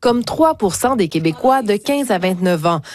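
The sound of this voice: A woman at a moderate pace, medium in pitch, with lively intonation and a slightly mellow tone.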